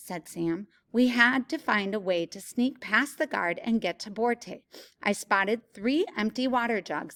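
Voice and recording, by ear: The clip features reading aloud. It is done in a natural voice.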